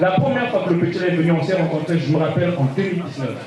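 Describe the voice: Amid audible room echo, a man talks at a very fast pace with fairly high pitch and lively intonation.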